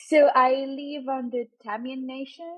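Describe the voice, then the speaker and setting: With a French accent, a woman speaks at a very slow pace. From Reunion Island. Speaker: podcast guest, fellow podcaster. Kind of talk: interview conversation.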